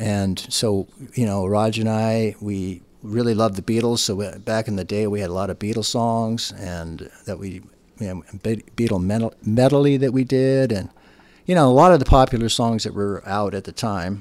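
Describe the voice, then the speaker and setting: A man with an ordinary speaking voice, fairly low pitch, ordinary pitch variation and moderate pace, on a very clean recording with a silent background. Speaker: bassist. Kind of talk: casual interview chat.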